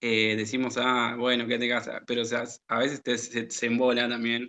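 This man's pitch is medium. His delivery is monotone with flat intonation. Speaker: teacher and radio co-host. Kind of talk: educational radio chat.

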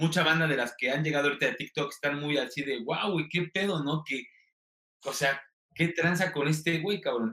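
A man talks at a moderate pace in a fairly high voice. His pitch variation is ordinary. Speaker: TikTok comedian and content creator. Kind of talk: interview. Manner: sing-song intonation.

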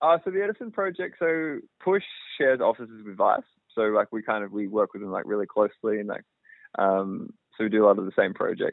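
A man speaks at a very fast pace with an Australian accent. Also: big swings in loudness. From Australia, outside Melbourne. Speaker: filmmaker and cinematographer. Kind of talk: interview. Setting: phone call.

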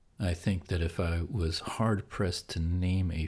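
In a very clean recording with a silent background, a man with a very deep, low pitch talks in a somewhat breathy voice with an American accent. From Pennsylvania, US. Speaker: podcast host. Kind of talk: sleep podcast monologue. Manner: slow.

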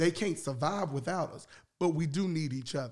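This man's voice sits high for a man, with ordinary pitch variation, on a very clean recording with a silent background. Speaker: podcast host. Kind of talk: casual chat. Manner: animated.

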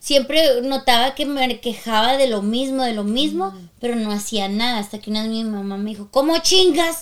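A woman's voice with lively intonation, on a very clean recording with a silent background. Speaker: podcast co-host, singer and voice actor. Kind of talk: casual chat.

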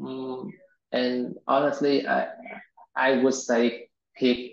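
A man speaks with a Vietnamese accent. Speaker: software engineer. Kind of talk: interview. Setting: video call. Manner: halting.

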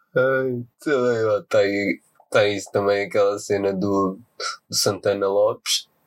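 Fairly low in pitch, a man speaks at a very slow pace. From Portugal. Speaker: podcaster. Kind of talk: casual chat.

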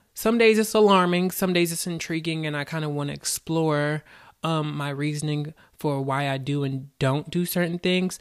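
A man with a normal speaking voice, fairly high in pitch, with ordinary pitch variation at a moderate pace, in a very clean recording against a silent background. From US South. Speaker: podcast host. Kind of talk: casual monologue on mindfulness. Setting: in front of a camera, recording.

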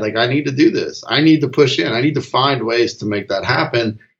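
A man with an American accent speaks at a fairly quick pace, his medium-pitched voice somewhat breathy and showing ordinary pitch variation. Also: hardly any pauses. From US South. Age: 40s. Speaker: father and dad coach. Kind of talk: interview. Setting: remote call.

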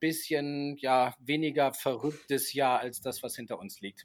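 A man with a fairly high pitch, speaking at a very slow pace, in a very clean recording with a silent background. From Argentina, German-speaking family. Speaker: TV reporter and presenter. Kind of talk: casual chat.

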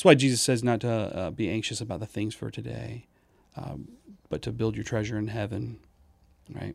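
This man has a fairly low pitch, an American accent, and some vocal fry. He talks at a moderate pace with ordinary pitch variation and long, frequent pauses. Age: 40s. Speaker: nurse and church planter. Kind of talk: casual interview. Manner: halting, many fillers.

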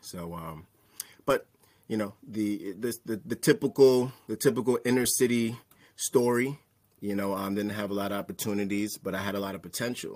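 An unremarkable speaking voice from a man, fairly low in pitch, at a moderate pace with ordinary pitch variation. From New York, Staten Island. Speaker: licensed therapist and mental health speaker. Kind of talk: casual interview chat.

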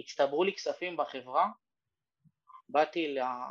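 A man's fairly high-pitched, normal speaking voice, with ordinary pitch variation at a moderate pace. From Ramla, Israel. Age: 30s. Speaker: real estate broker. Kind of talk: workshop talk over Zoom. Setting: Zoom workshop.

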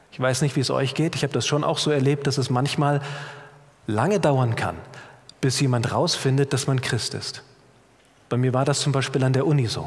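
A man speaks at a moderate pace with a fairly high pitch and fairly even intonation. Long pauses come often, and there is noticeable background noise. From Germany, Middle Rhine (Bad Kreuznach, near Mainz). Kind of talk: sermon. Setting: church.

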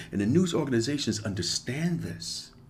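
Audible room echo surrounds this voice. A man speaks with vocal fry. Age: 50s. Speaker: podcast host. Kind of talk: solo monologue.

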